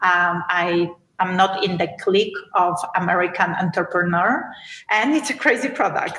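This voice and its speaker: Speaking with a Polish accent, a woman talks at a fairly slow pace. Her pitch is medium, with ordinary variation. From Poland. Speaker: beauty entrepreneur. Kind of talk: podcast interview.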